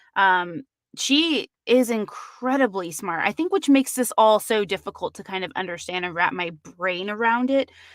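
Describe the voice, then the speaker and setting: A woman with an ordinary speaking voice talks at a moderate pace in a medium pitch with lively intonation. The recording is very clean, dry and close, with no echo and a silent background. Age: 30s. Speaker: true crime podcast host. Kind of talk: live stream true crime discussion. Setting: live stream. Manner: casual, with many fillers.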